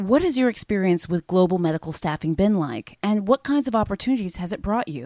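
A woman talks at a fairly quick pace with a medium pitch. Her pitch swings very widely. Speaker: physician podcast host. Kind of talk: interview. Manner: formal.

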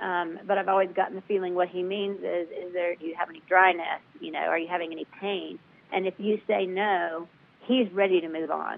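With an American accent, a woman talks at medium pitch and a fairly quick pace, in monotone, flat intonation with big swings in loudness. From US South. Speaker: patient advocate. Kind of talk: interview.

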